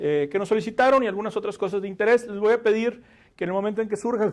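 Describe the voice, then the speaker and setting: This man's voice sits high in pitch. Its pitch varies in an ordinary way. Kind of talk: lecture. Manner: fast.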